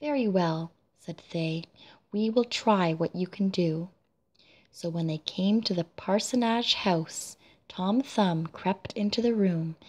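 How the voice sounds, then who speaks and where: Soft-spoken and medium in pitch, a woman talks at a very slow pace with ordinary pitch variation against a quiet background. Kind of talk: read fairy tale.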